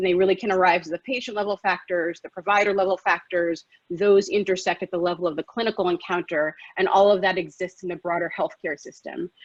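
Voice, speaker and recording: A woman speaks very fast in an American accent, her intonation fairly even. The sound is dry and close with no echo. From US, New York. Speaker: physician. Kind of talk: lecture. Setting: live webinar.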